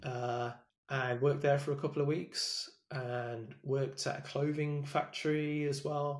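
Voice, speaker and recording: A man with an English Midlands accent speaks at a moderate pace with a fairly high pitch. His voice is somewhat breathy and his intonation monotone and flat. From England, Leicester. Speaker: sales development leader. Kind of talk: interview.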